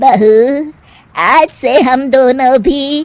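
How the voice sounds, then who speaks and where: In a cartoonish character voice, a woman speaks high-pitched, raised and projected, with lively intonation. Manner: scolding, blunt.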